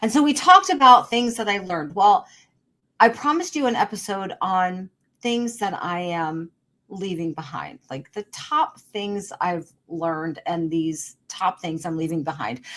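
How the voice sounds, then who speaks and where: At a fairly slow pace, a woman with a medium pitch talks with lively intonation and big swings in loudness. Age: 60s. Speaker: podcast host. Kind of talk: motivational monologue. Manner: emphatic, repetitive.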